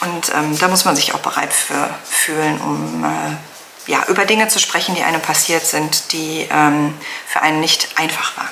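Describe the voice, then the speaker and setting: Speech runs at a fairly slow pace with hardly any pauses, over light background noise. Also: woman. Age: 40s. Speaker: knitting vlogger. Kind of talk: personal testimony; casual vlog. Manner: hesitant, many fillers. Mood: serious, reflective. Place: home room.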